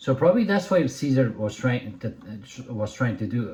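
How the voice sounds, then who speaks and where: Medium in pitch, a man talks in an animated tone. His pace is moderate. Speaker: dog trainer. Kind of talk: video commentary. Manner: loud; casual, animated.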